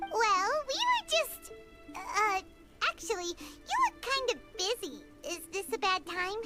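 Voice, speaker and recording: Over loud music in the background, a put-on character voice speaks at an extremely high pitch and a fairly slow pace. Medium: video game. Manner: energetic, emotional, casual.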